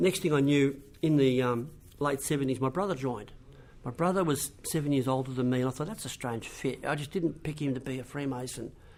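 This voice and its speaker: Fairly quick speech from a man with an Australian accent, fairly high pitch and ordinary pitch variation. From Australia (Wagga, New South Wales, then Melbourne). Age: 60s. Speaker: education officer, trainer. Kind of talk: interview.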